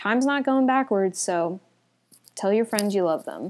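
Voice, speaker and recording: A woman speaks at a medium pitch with ordinary pitch variation. It is a plain, everyday voice on a very clean recording with a silent background. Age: 20s. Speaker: solo podcaster. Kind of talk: casual monologue. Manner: laughing often, filler-heavy.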